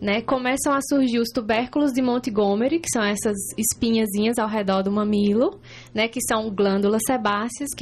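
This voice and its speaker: A woman speaks at a fairly high pitch with ordinary pitch variation. Her pace is fairly slow. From Ceará, Brazil (Juazeiro do Norte, interior). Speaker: breastfeeding consultant. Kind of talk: informative interview.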